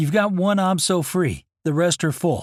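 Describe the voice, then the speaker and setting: A man uses a put-on character voice. It sits high in pitch, with fairly even intonation. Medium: read story. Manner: brisk, matter-of-fact.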